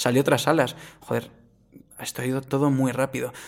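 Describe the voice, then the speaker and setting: This is an ordinary speaking voice moving at a fairly quick pace. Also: man. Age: 20s. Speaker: podcast host, music interviewer. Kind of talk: casual interview.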